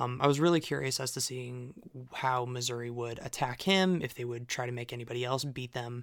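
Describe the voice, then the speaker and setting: At a moderate pace, a man talks in an ordinary speaking voice at medium pitch. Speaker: substitute co-host and site editor. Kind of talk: casual sports podcast discussion.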